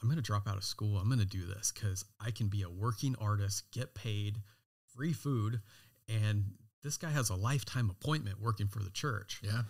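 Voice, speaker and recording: A somewhat breathy man with an American accent, fairly low-pitched, with ordinary pitch variation, on a very clean recording with a silent background. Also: moderate pace. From California. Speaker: designer and knife brand founder. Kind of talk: interview.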